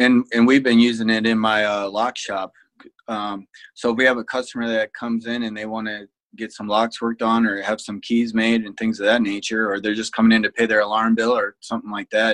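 Here a man speaks in a Midwestern American accent at a medium pitch. His intonation is monotone and flat, and the sound is dry and close with no echo. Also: fairly quick pace. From Ohio, Fremont. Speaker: security business owner, ex-Marine officer. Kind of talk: interview conversation.

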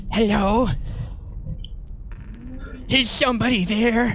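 A put-on character voice at a fairly high pitch and fairly slow pace, with clear background noise. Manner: questioning, cautious.

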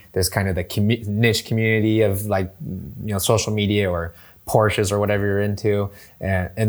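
In a very clean recording with a silent background, a man speaks at a fairly low pitch in a monotone, flat intonation. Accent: American. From US West Coast, San Diego. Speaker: real estate tech professional. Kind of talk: casual interview chat.

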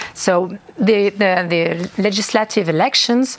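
Using lively intonation, a woman with a French accent speaks at a medium pitch over noticeable background noise. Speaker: politician. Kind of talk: interview. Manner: halting.

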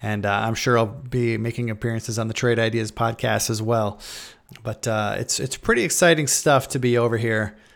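A man at medium pitch and a fairly quick pace, fairly even in intonation, on a very clean recording with a silent background. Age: 40s. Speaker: podcast host and options trader. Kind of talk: casual monologue. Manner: hesitant, many fillers.

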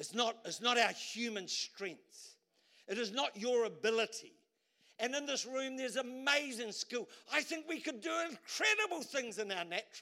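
An extremely high-pitched male voice, raised and projected, with a bright, sharp tone, lively intonation and a moderate pace. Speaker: preacher. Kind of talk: sermon. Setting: church.

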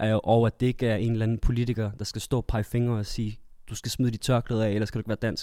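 Very fast and monotone, a man with a dark, mellow tone talks flatly in a dry, close recording with no echo. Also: medium pitch for a man. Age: 20s. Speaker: theatre performer sharing personal story. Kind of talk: casual group discussion.

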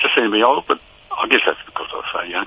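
A man with an Australian accent talks over noticeable background noise. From Tasmania, Hobart area. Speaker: former footballer. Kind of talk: casual interview, reminiscing. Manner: halting, many fillers.

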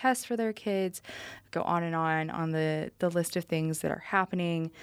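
A woman with a normal speaking voice talks at a fairly low pitch and moderate pace, the sound dry and close with no echo on a very clean recording with a silent background. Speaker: student podcast host, managing editor. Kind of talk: casual chat.

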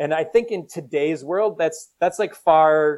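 Moderate-paced speech from a man with a Minnesotan accent, fairly high pitch, and ordinary pitch variation. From US Minnesota. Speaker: company CEO. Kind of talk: casual interview chat.

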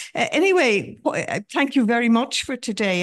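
A woman speaks with an Irish accent against a quiet background. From Ireland, border counties. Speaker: audience member, former city councillor. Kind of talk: audience question. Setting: event hall with audience.

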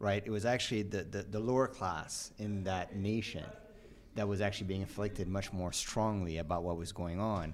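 In a room with audible echo, a man speaks at a fairly low pitch and moderate pace with fairly even intonation. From Canada. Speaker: podcast host. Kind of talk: live panel discussion. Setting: live at a conference.

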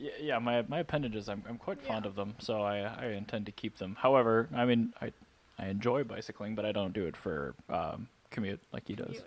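A man speaks in a plain, everyday voice at a fairly quick pace, with fairly low pitch and ordinary pitch variation. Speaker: podcast host. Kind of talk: casual banter.

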